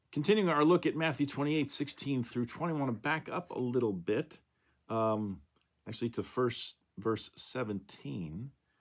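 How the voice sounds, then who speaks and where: An unremarkable speaking voice moves at a moderate pace with lively intonation in a very clean recording with a silent background. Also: man, medium pitch for a man. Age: 60s. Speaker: pastor. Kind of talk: devotional talk. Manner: casual with many fillers.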